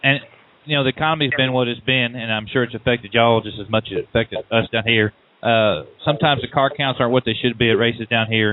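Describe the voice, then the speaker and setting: A man talks at a very fast pace in a medium pitch. His intonation is fairly even. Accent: Southern US. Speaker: radio show host. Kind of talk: radio interview.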